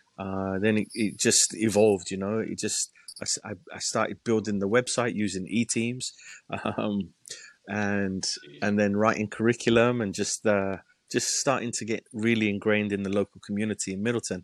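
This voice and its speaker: A man's monotone, flat delivery comes at a moderate pace, the sound dry and close with no echo. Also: fairly low pitch for a man. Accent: English. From England. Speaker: youth soccer coaching director. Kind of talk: casual interview.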